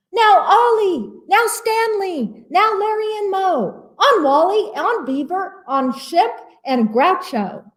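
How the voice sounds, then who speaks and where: Using a put-on character voice, a woman speaks at a fairly slow pace and an extremely high pitch. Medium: read story.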